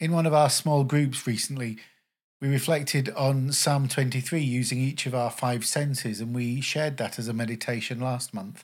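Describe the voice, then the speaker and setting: The recording is very clean, with a silent background. It carries a plain, everyday voice. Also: man, medium pitch for a man, fairly even intonation, moderate pace. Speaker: podcast host. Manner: warm, calm, welcoming.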